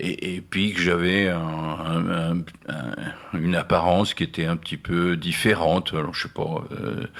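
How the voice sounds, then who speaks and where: A man's very deep, low voice at a fairly slow pace, with fairly even intonation over noticeable background noise. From Nancy, France. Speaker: singer-songwriter, painter, poet. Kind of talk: radio interview answer. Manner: hesitant, reflective.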